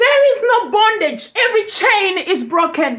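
Over a quiet background, a woman projects a raised voice with lively intonation at a fairly slow pace. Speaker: ministry preacher. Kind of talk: sermon. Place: home room. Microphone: phone near.

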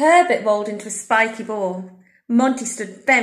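The voice sounds natural. It is reading aloud.

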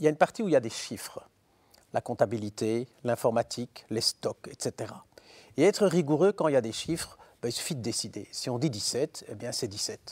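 Against a quiet background, a man with a medium pitch talks at a moderate pace. His intonation is lively. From Belgium. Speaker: philosopher and professor; talk show guest. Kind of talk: interview. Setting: studio. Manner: hesitant with repetitions. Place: studio. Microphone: lapel.

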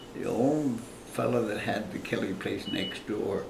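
A man speaks at a very slow pace. Noticeable background noise can be heard. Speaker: retired logger and homesteader. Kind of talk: interview answer. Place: home room. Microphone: camera far.

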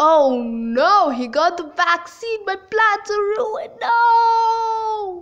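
This is a cartoonish character voice with an extremely high pitch. It moves at a very slow pace. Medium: puppet show. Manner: sneaky, villainous, frustrated.

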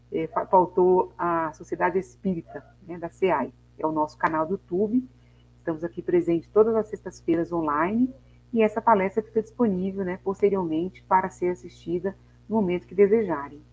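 At a moderate pace, a woman speaks with ordinary pitch variation and big swings in loudness. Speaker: host of a spiritist online talk. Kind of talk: reading a text, then host announcements and prayer. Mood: calm, devotional. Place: home room. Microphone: earbuds.

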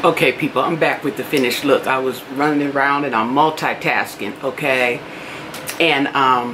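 A woman speaks at a very deep, low pitch with fairly even intonation. Noticeable background noise is present. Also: moderate pace. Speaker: beauty vlogger. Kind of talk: casual vlog chat. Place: home room. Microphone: phone near.

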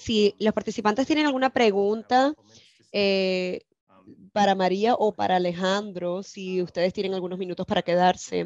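A woman speaks in an ordinary speaking voice at a moderate pace, with medium pitch, ordinary pitch variation and a dry sound with no echo. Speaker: webinar moderator. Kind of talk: moderating. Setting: video call. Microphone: video call.

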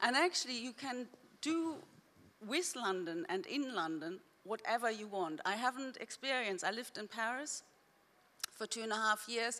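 A woman speaks in an unremarkable speaking voice. Her pitch is fairly high and her pace moderate. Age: 40s. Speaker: writer. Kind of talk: panel discussion. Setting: stage with audience. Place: stage. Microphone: handheld.

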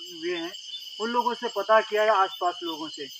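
A man talking at a fairly slow pace, dry sound with no echo, noticeable background noise. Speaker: YouTube ghost-story host. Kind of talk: storytelling vlog to camera. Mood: earnest, storytelling tone. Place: open country. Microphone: handheld.

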